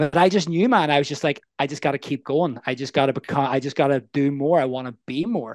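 With a Northern Irish accent, a man speaks at a moderate pace in a fairly high pitch. The sound is dry and close with no echo, over a quiet background. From Northern Ireland, Belfast. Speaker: life coach. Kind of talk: casual interview.

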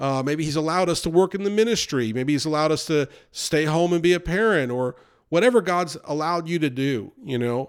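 A man with an American accent speaks at a fairly quick pace in an unremarkable speaking voice, fairly high-pitched with ordinary pitch variation, on a very clean recording with a silent background. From United States. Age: 40s. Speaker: pastor. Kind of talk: sermon. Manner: casual conversational.

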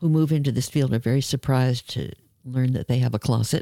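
A dark, mellow voice with an American accent, ordinary pitch variation, and a dry, close sound with no echo. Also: woman. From New York. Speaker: author and sex educator. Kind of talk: casual interview conversation. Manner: animated.

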